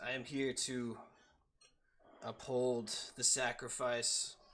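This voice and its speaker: Bellowing and booming in a put-on character voice, a man speaks at medium pitch with monotone, flat intonation and a very slow pace. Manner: commanding, declaring.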